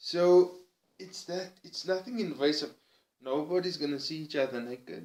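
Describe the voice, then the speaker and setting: A man with a Cape Town accent talks at a moderate pace in a fairly high pitch. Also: ordinary pitch variation, big swings in loudness. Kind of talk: personal vlog monologue.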